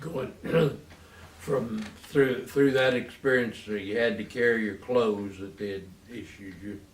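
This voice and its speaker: A man with a Texan accent at medium pitch, fairly slow with long, frequent pauses and ordinary pitch variation, big swings in loudness, audible room echo and noticeable background noise. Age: 90s. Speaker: war veteran. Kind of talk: oral history interview. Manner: halting.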